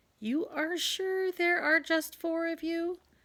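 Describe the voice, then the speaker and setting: In a put-on character voice, a woman talks at a fairly slow pace, extremely high-pitched and squeaky, with fairly even intonation. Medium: read story. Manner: commanding, haughty.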